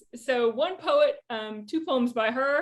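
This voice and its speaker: The speaker has a Southern US accent, a fairly slow pace, and ordinary pitch variation. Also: woman. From US South. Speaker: poet and creative writing professor. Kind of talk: lecture. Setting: video call. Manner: casual, informal.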